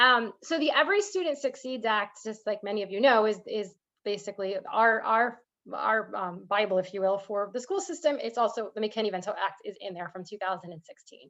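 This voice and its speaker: A woman with a fairly high pitch talks at a fairly quick pace, showing ordinary pitch variation and big swings in loudness. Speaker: school district program presenter. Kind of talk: presentation to parent group. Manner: fast.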